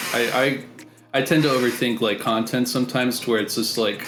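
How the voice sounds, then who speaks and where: A man talks at a fairly quick pace with a medium pitch. Music plays in the background, and the room echo is audible. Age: 20s. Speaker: music producer. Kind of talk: casual chat. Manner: halting.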